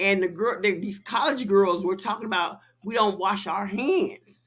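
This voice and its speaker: Speaking in an American accent, a woman has a medium-pitched voice and an animated tone. Her pace is moderate and her pitch varies in an ordinary way. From Chicago. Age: 60s. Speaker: podcast host. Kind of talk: casual chat.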